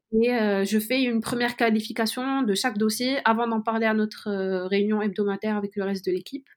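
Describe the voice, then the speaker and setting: On a very clean recording with a silent background, a woman with a fairly high pitch speaks in an unremarkable speaking voice at a moderate pace with fairly even intonation. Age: 20s. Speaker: student intern in venture capital. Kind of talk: interview.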